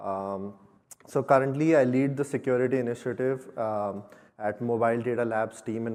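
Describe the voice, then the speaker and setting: An Indian accent with fairly even intonation. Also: man. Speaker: security engineer. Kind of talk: conference talk.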